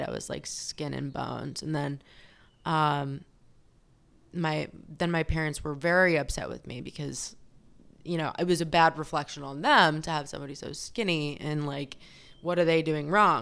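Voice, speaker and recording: Very deep and low in pitch, a woman with a Californian accent talks at a moderate pace with fairly even intonation. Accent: Californian American. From California, Fresno. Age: 30s. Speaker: actress in addiction recovery. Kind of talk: personal testimony interview. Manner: halting, with frequent fillers.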